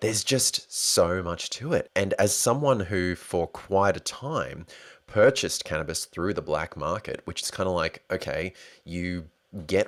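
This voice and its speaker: Over a silent background in a very clean recording, a man talks at a fairly slow pace. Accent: Australian. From Australia. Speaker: podcast host. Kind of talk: solo podcast monologue. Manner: animated.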